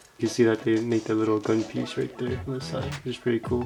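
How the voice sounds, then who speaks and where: Over music in the background, a man at a medium pitch talks at a very fast pace. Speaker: model kit builder. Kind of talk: tutorial. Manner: casual.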